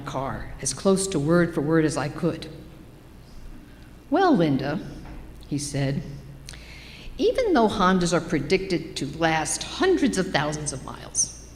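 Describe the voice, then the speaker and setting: A woman speaks at a fairly slow pace and fairly low pitch, with long, frequent pauses. There is audible room echo. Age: 70s. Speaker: church member giving a personal reflection. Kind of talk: personal reflection read in a worship service. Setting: church service.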